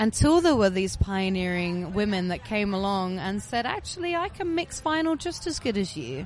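A woman speaks with hardly any pauses and very wide pitch swings. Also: medium pitch for a woman, moderate pace. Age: 30s. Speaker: DJ. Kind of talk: casual chat. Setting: festival backstage, seated on sofas.

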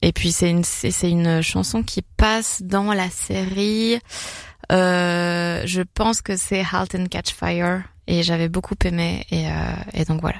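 On a very clean recording with a silent background, a woman speaks at a very slow pace. Her voice is fairly low in pitch, and her intonation is fairly even. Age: young. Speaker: stand-up comedian. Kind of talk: casual chat. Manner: hesitant, many fillers.

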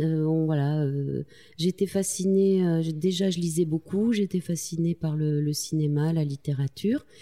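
A woman with a very deep, low pitch and a dark, mellow tone speaks at a fairly slow pace, her intonation fairly even and her loudness very even, in a dry, close sound with no echo. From France, Corrèze (Tulle). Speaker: magazine co-founder and journalist. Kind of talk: interview conversation. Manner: halting, with repetitions and fillers.

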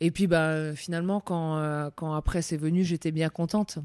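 A woman's fairly low voice with a dark, mellow tone, on a very clean recording with a silent background. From France, Alsace. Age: 30s. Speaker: basketball coach. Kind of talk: interview.

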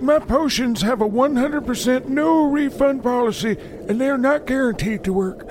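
A man's put-on character voice at an extremely high pitch, moderate pace, over clear background noise. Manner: sarcastic, scheming, crude.

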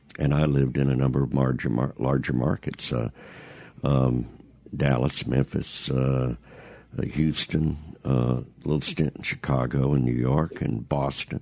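With a Mississippi accent, a man speaks fairly slowly at a very deep, low pitch, leaving long, frequent pauses and keeping his loudness very even over noticeable background noise. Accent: Southern US, Mississippi. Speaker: veteran radio broadcaster, author, podcast guest. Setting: radio studio.

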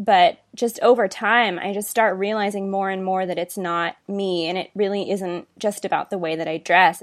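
Over a quiet background, a woman with a normal speaking voice talks at medium pitch and a moderate pace, her intonation fairly even and hardly any pauses. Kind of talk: interview.

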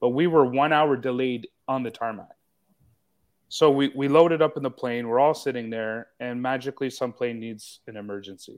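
Big swings in loudness mark a man's normal speaking voice as he talks at a moderate pace. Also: medium pitch for a man, ordinary pitch variation. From Canada. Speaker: podcast co-host. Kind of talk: casual chat. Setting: live stream video call.

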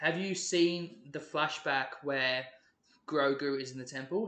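With an East Anglian accent, a man speaks in a bright, sharp tone at a fairly high pitch and ordinary pitch variation. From England (Ipswich, Suffolk). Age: 20s. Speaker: podcast co-host. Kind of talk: casual chat. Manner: animated.

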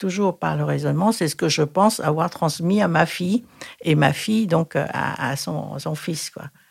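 The speaker talks at a fairly slow pace with a Thai accent. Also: woman. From Thailand. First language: Thai (speaking French). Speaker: retired Thai teacher. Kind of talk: interview. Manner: halting.

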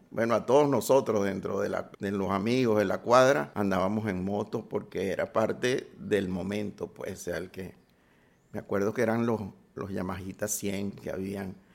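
His pitch fairly low, a man talks at a moderate pace with fairly even intonation. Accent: Caracas Venezuelan. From Venezuela, Caracas. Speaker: film sound designer and director. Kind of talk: interview. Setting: at his home.

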